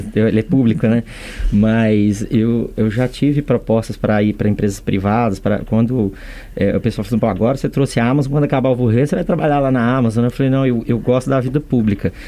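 A man talks at a fairly quick pace in a dark, mellow tone. His loudness stays very even. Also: medium pitch for a man, ordinary pitch variation. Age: 40s. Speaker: state company president. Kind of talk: interview. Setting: studio. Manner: halting, frequent fillers.

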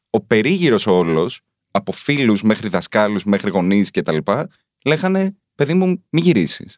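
In a dry, close sound with no echo, a man with a fairly low pitch talks at a fairly slow pace, his loudness very even but his pitch swinging very widely. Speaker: journalist and author. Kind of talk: casual chat. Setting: studio.

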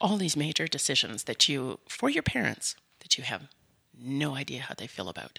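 A woman with a Canadian accent has a very deep, low voice with a bright, sharp tone and very wide pitch swings, in a very clean recording with a silent background. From Canada, mostly Winnipeg. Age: 50s. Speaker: seniors advocate, business owner. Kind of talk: interview.

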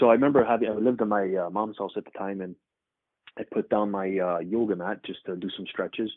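A man's plain, everyday voice, fairly low in pitch, with fairly even intonation, a Canadian accent and a fairly quick pace. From Canada. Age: 30s. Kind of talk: interview testimony.

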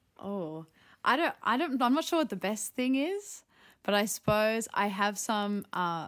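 In an Australian accent, a woman with a medium pitch speaks at a fairly slow pace and with lively intonation on a very clean recording with a silent background. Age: 20s. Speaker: contemporary dancer. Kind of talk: casual interview.

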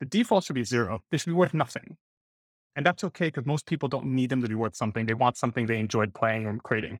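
A man with a medium pitch talks at a very fast pace, his intonation lively and the sound dry and close with no echo. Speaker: startup co-founder and CEO. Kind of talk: casual panel discussion.

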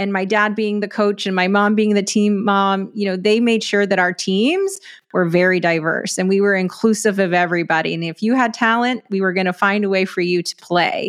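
On a very clean recording with a silent background, a woman with an ordinary speaking voice talks at a medium pitch and fairly quick pace with an American accent. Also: fairly even intonation. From West Texas, US. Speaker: sports media company founder. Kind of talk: interview conversation.

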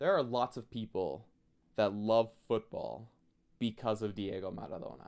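At a moderate pace, a man with a fairly low pitch and vocal fry talks with ordinary pitch variation. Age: 20s. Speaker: student radio host. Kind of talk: sports talk monologue.

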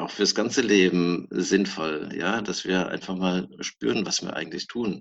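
The man here has a very deep, low pitch. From southwestern Germany, Palatinate and Mosel. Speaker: dentist. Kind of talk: interview.

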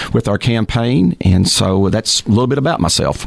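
Over noticeable background noise, a man speaks at a moderate pace with a fairly low pitch and ordinary pitch variation. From Texas (Texarkana). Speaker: mayor and mayoral candidate. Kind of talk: radio interview.

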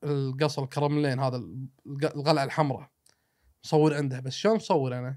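The man speaks at a fairly quick pace with a Kuwaiti accent. The recording is very clean, with a silent background. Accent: Kuwaiti Gulf Arabic. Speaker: traveler and road-trip adventurer. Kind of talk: casual storytelling chat.

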